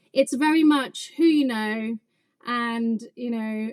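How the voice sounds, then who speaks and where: An English accent with ordinary pitch variation and a dry, close sound with no echo. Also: woman. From England. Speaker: craft business owner and YouTuber. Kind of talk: podcast interview.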